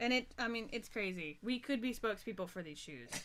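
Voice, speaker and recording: With an American accent, a woman talks in a bright, sharp tone. Her pitch is fairly high and her pace moderate. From US South. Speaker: web series show host. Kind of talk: casual chat. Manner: animated.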